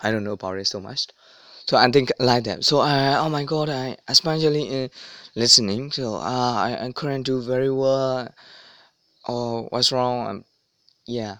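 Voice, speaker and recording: Speaking at a moderate pace with a non-native accent, a man leaves long, frequent pauses. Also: medium pitch for a man, ordinary pitch variation. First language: not English. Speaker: language learning vlogger. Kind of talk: casual advice monologue. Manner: halting, many fillers.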